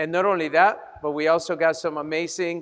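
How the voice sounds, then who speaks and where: In a Colombian accent, a man talks at a moderate pace in a high pitch with monotone, flat intonation. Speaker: chiropractor, fundraiser host. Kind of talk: fundraising appeal.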